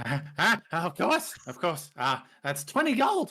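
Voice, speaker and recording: This is a put-on character voice, croaky and in a middle pitch. It moves at a very slow pace. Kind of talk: sophisticated, refined.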